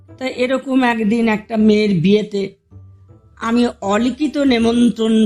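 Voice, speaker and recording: A woman speaks at a fairly high pitch with music in the background. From India. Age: middle-aged. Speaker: housewife storyteller. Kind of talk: personal anecdote told to listeners. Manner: casual, humorous.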